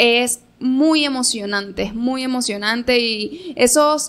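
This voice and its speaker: This woman speaks in a high pitch. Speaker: stage performer and graphic designer; interviewed actress. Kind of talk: radio interview. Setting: radio studio. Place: studio.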